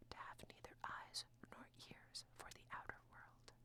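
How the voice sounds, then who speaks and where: A woman is whispering. Her words come out in a hushed whisper. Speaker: ASMR audiobook reader. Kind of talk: whispered audiobook reading for sleep. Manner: whispered, soft-spoken.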